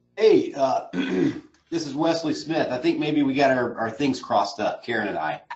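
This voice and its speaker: A man at a moderate pace with hardly any pauses. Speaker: webinar attendee asking a question. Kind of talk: Q&A on a video call. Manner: halting, with fillers.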